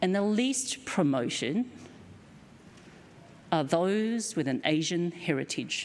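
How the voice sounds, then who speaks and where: A woman with a strong Australian accent speaks at a very slow pace with long, frequent pauses. Her fairly low pitch swings very widely while her loudness stays very even. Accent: broad Australian. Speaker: keynote speaker, company director. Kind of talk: lecture.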